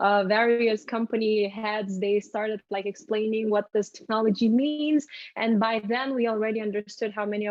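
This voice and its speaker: A woman talks at a moderate pace in a fairly high pitch. Her intonation is monotone and flat. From Lithuania. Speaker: crypto marketing executive. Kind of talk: interview.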